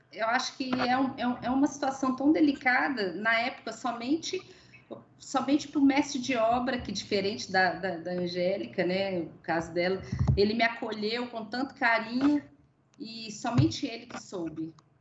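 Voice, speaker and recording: A woman's enthusiastic tone at a fairly slow pace over noticeable background noise. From Brazil. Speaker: engineering manager; webinar panelist. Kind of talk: panel discussion. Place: home room. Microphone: video call.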